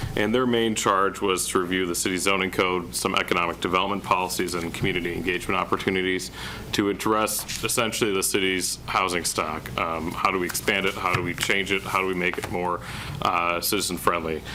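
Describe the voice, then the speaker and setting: A man's very deep, low voice with fairly even intonation, audible room echo and noticeable background noise. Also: fairly quick pace. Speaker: city planning director. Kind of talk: public meeting presentation. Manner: monotone.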